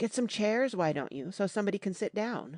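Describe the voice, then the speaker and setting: Against a quiet background, a soft-spoken, female-sounding voice at medium pitch does a put-on character voice at a fairly quick pace. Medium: read story.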